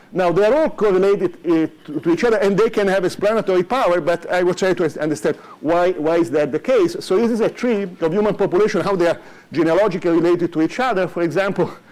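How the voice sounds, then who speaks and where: A man talks at a very fast pace and high pitch, with ordinary pitch variation and very even loudness. Noticeable background noise is present. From Italy. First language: Italian. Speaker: economics professor. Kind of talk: lecture. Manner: halting, many fillers.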